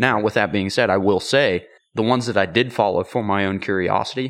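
A man with an ordinary speaking voice talks at a fairly quick pace against a quiet background. His pitch is fairly low, with ordinary pitch variation. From western Pennsylvania (Ford City area). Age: 20s. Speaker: bowhunter and outdoor content creator. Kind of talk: casual chat. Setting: host's garage.

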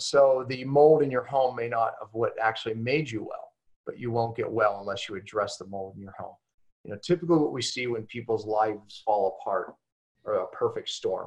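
Talking at a fairly quick pace, a man's voice shows big swings in loudness. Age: 50s. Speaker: health expert and author. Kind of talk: interview.

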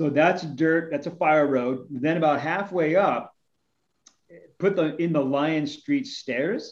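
A man's plain, everyday voice, fairly high in pitch, with ordinary pitch variation. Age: 50s. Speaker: fitness podcast co-host. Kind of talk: casual interview chat.

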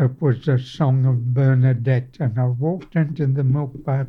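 The speech comes in a strong Australian accent, somewhat breathy, at a fairly slow pace. The intonation stays monotone and flat. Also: man. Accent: broad Australian. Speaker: navy veteran. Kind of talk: oral history interview. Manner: halting.

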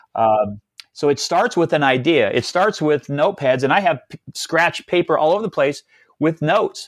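Dry and close with no echo, on a very clean recording with a silent background, a man uses an ordinary speaking voice at a fairly high pitch with lively intonation and a moderate pace. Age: 50s. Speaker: entrepreneur and business speaker. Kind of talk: interview.

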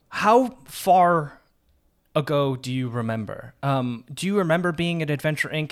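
With a normal speaking voice, this man sits fairly high in pitch, and his pitch moves in an ordinary way. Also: very clean recording, silent background. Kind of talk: in-character role-playing and describing actions, tabletop game.

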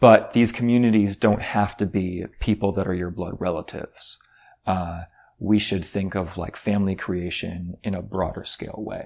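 A man talks in a normal speaking voice at a fairly low pitch. His pace is moderate and his intonation fairly even. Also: very clean recording, silent background. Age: 40s. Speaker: podcast host discussing a book. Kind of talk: casual book discussion.

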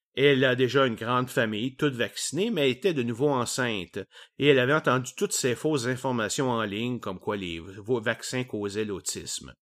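In a Quebec accent, a man with a medium pitch speaks at a moderate pace with ordinary pitch variation, in a very clean recording with a silent background. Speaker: science podcast host. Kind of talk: educational monologue. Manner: casual.

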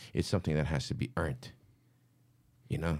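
A dark, mellow tone with vocal fry moves at a very fast pace on a very clean recording with a silent background. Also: man. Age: 30s. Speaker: graffiti artist. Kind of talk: casual chat.

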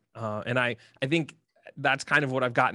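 A man with a Midwestern American accent talks at a fairly quick pace with ordinary pitch variation. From Ohio, Columbus. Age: 30s. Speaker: YouTuber, video game content creator. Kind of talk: casual interview chat.

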